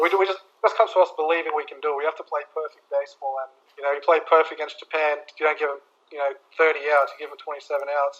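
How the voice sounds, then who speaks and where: At a very fast pace, a man with an Australian accent talks at a fairly high pitch, his intonation fairly even and his loudness swinging widely. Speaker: professional baseball pitcher. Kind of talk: podcast interview answer.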